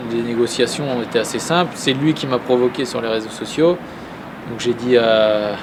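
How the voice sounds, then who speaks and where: A man at a medium pitch and moderate pace, with ordinary pitch variation and noticeable background noise. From Normandy, France (Saint-Lô, Manche). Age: 20s. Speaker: professional boxer. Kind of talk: interview.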